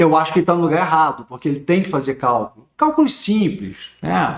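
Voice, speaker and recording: Here is a man with a fairly high pitch. He speaks with a Rio de Janeiro accent. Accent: Rio de Janeiro (carioca). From Rio de Janeiro, Brazil. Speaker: teacher of social security law. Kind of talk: online lecture. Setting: livestream on YouTube.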